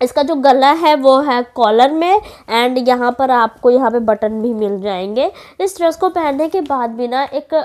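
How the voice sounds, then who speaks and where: With a high pitch, an animated tone and lively intonation, a woman speaks at a fairly slow pace. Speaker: fashion YouTuber. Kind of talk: product haul review. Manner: chatty, animated.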